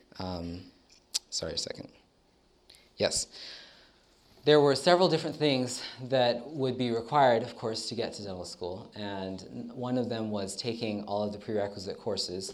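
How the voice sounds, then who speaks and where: With an American accent, a man talks at a moderate pace and medium pitch, with ordinary pitch variation, long and frequent pauses, and audible room echo. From United States. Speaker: dental student. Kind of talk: testimony. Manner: hesitant, many fillers.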